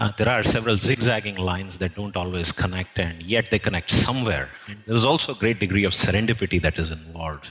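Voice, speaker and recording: Very fast speech with an Indian accent, hardly any pauses, and ordinary pitch variation. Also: man, fairly low pitch for a man. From North India, Jhansi (Uttar Pradesh). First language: Telugu. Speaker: history professor. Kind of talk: interview. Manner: hesitant, many fillers.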